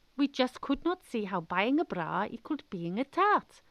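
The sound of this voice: In a South West Wales accent, a woman speaks at a moderate pace and a fairly high pitch, with big pitch swings. The sound is dry and close, with no echo. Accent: South West Welsh.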